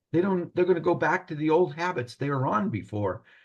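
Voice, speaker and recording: A somewhat breathy man's voice with very wide pitch swings over a quiet background. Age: 70s. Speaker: retired pharmacist, program client. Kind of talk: testimonial interview. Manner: halting, repeats words.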